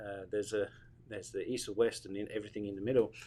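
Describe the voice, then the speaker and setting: A man is speaking. He has a British accent. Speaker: radio host, marketing specialist. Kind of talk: radio interview.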